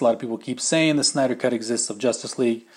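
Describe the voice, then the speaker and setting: A medium-pitched man with ordinary pitch variation, in a very clean recording over a silent background. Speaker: podcast host. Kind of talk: solo casual podcast monologue. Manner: fast; casual, filler-heavy.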